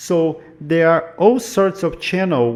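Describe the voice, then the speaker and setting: A man talks at a fairly slow pace. He has a non-native accent. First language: not English. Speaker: YouTube commentator. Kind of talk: casual explainer monologue.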